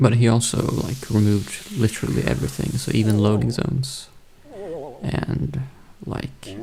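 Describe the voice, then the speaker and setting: The tone is relaxed and the pace moderate, with noticeable background noise throughout. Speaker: speedrunner streamer. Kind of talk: live gameplay commentary. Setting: live stream. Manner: casual, relaxed.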